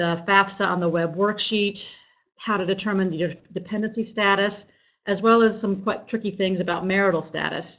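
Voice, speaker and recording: A woman talks with monotone, flat intonation at a medium pitch. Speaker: financial aid coordinator. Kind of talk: webinar presentation. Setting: online live webinar. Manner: fast.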